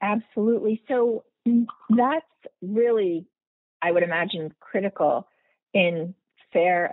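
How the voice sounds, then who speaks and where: A woman talks rather slowly in a normal speaking voice, her pitch shifting in a normal way. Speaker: podcast host. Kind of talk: interview conversation.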